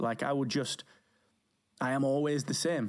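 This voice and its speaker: A man with a British accent speaks at a fairly high pitch. The recording is very clean, with a silent background. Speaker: podcast company founder. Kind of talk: interview conversation. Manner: soft-spoken.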